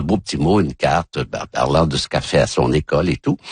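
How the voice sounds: A man talks at a fast pace. His voice carries a slightly husky edge.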